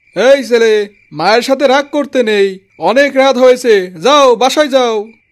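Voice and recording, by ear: On a very clean recording with a silent background, a man performs a cartoonish character voice at an extremely high pitch and a moderate pace.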